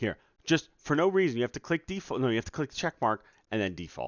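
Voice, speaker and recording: A man's voice with vocal fry. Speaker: game developer streamer. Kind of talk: casual live stream. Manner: trying to be quiet.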